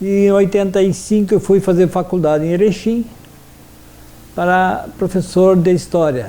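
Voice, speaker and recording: A high-pitched man's voice, dark and mellow in tone, at a fairly slow pace with long, frequent pauses, fairly even intonation and very even loudness. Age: 60s. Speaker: history teacher. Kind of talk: interview testimony. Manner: halting, with frequent fillers.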